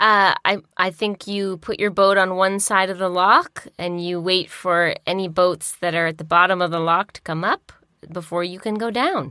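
With fairly even intonation, a woman talks at a moderate pace and medium pitch, the sound dry and close with no echo. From Ontario, Canada (Peterborough). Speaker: comedy podcast guest. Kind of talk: improvised comedy chat. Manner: halting, many fillers.

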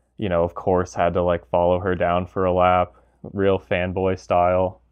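A man with a very deep, low voice talks fairly slowly. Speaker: gear reviewer. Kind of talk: interview.

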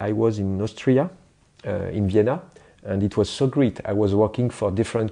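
Speaking with a French accent over a quiet background, a man has a dark, mellow tone. His pitch is fairly low, with ordinary pitch variation. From France. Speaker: graphic designer. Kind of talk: interview. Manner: halting; animated.

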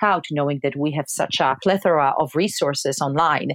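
At a fairly quick pace, a woman speaks in a very deep, low pitch. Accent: Polish. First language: Polish. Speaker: university language professor. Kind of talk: interview.

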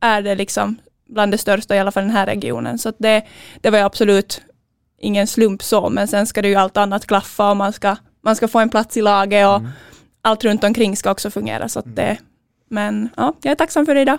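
In a Finland-Swedish accent, a woman talks at a fairly quick pace, the sound dry and close with no echo and the recording very clean with a silent background. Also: medium pitch for a woman, ordinary pitch variation. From Finland (Finland-Swedish), Sjundeå. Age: 20s. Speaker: handball player. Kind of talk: interview.

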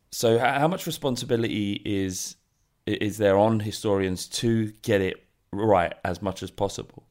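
The recording is very clean, with a silent background. A man with a fairly low pitch talks at a moderate pace with ordinary pitch variation. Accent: British. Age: 30s. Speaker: podcast host. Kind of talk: interview. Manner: halting, many fillers and repetitions.

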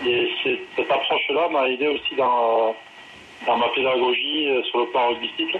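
A man talks at a fairly slow pace. His loudness stays very even throughout. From southwest France. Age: 40s. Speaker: rugby coach. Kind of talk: interview.

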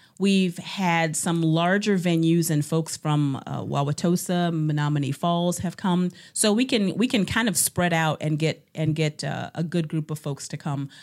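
A woman with an American accent and a fairly low pitch has a plain, everyday voice with ordinary pitch variation. She keeps a moderate pace with hardly any pauses, in a very clean recording with a silent background. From Ohio, Cleveland. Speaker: nurse and community organizer. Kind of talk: interview conversation.

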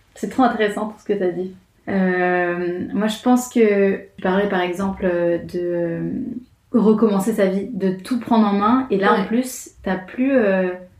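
Very slow speech from a woman at medium pitch, fairly even in intonation, with audible room echo. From France. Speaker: graphic designer living abroad. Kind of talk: casual chat.

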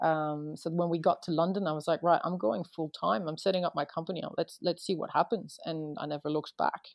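Talking at a fairly quick pace, a woman with a French accent uses a fairly low pitch and ordinary pitch variation. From France, raised partly near Boston. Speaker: photographer and former lawyer. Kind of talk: casual interview.

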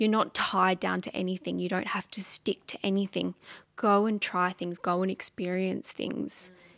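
Moderate pace, a very clean recording with a silent background, and a dry, close sound with no echo. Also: woman. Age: 20s. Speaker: musician. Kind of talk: casual chat.

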